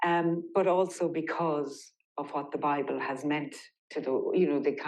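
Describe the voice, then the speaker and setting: Intonation stays monotone and flat as a woman speaks at a moderate pace. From Ireland. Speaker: poet. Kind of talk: interview answer.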